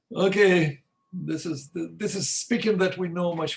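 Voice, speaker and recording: A man speaks with a non-native accent. His pace is moderate. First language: not English. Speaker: logician. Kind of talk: academic discussion. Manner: halting.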